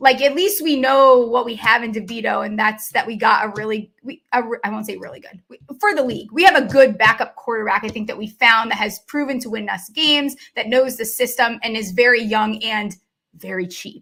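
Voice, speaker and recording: A woman speaks at a fairly quick pace and fairly high pitch in a bright, sharp tone. Her loudness swings widely while her pitch varies in an ordinary way. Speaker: sports betting podcast host. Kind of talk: casual chat. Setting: live video broadcast.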